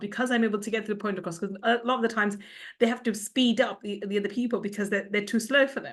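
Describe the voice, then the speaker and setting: Over a quiet background, a woman speaks at a fairly high pitch with ordinary pitch variation. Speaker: podcast host. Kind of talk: interview. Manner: fast; speeds up when excited.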